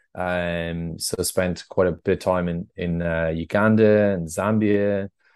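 Against a quiet background, a man with an Irish accent speaks at a very deep, low pitch in a monotone, flat intonation. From Ireland, North Tipperary. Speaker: adventure travel company founder. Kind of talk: podcast interview. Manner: hesitant, many fillers.

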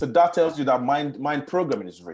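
This man talks at a fairly quick pace, with vocal fry at a medium pitch. The background is quiet. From Nigeria. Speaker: startup founder. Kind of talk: interview.

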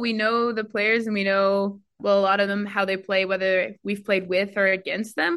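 Speaking in a normal speaking voice with a Canadian accent, a woman keeps a moderate pace and a medium pitch with hardly any pauses. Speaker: international rugby player. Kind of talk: casual interview chat.

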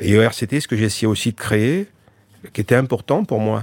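This man's medium-pitched voice moves fairly quickly, with ordinary variation in pitch. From France, child of immigrants. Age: 60s. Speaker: entrepreneur and rugby club owner. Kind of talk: interview. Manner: halting.

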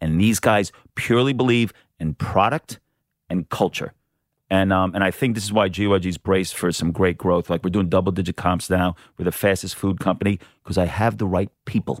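At a fairly quick pace, a man with an American accent speaks in a very deep, low voice with ordinary pitch variation. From New York. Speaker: restaurant chain founder and CEO. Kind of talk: casual interview. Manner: energetic.

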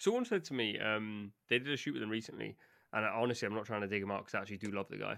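With a fairly low pitch, a man talks at a very fast pace. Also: ordinary pitch variation. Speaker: podcast host. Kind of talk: casual chat, football debate.

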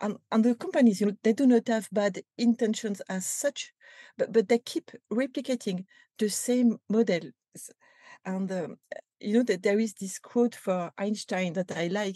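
With a French accent, a woman speaks at a fairly high pitch, with ordinary pitch variation and a dark, mellow, somewhat breathy tone, in a dry, close sound with no echo. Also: moderate pace. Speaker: company culture executive. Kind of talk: interview. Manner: halting, many repetitions and fillers.

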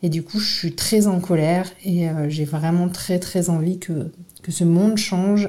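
At a fairly slow pace, a woman speaks in a fairly low, monotone, flat voice with a dark, mellow, somewhat breathy tone. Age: 40s. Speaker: activist. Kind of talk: testimony.

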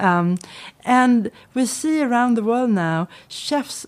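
A woman speaks with a Swedish accent and lively intonation. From Sweden. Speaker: research centre director. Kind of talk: interview. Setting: studio.

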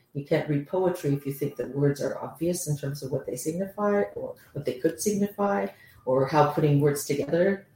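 Speaking at a moderate pace with a Canadian accent, a woman has a very deep, low pitch, a dark, mellow tone, a somewhat breathy quality and ordinary pitch variation. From Canada. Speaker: professor. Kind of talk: interview.

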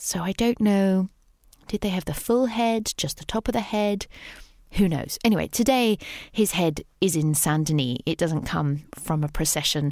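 In a British accent, a woman talks at a moderate pace and a medium pitch with lively intonation. The recording is very clean, with a silent background. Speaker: podcast host. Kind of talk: scripted narration about a Paris cemetery, casual tone.

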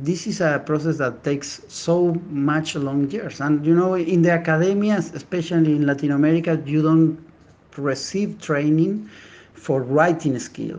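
Speaking with a Spanish accent, a man has a fairly high pitch. He keeps a moderate pace and fairly even intonation. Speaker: neuroscientist. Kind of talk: interview.

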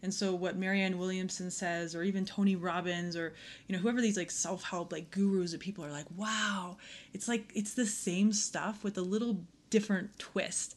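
A plain, everyday voice with an American accent, moderate pace and fairly even intonation. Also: woman, medium pitch for a woman. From Aspen, Colorado. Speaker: yoga teacher. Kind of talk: casual chat.

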